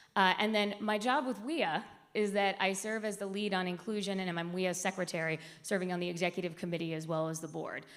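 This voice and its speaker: Audible room echo surrounds a woman speaking at a medium pitch. Her intonation stays fairly even. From US South, raised outside Atlanta, Georgia. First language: Spanish. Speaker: diversity and inclusion executive. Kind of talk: conference presentation.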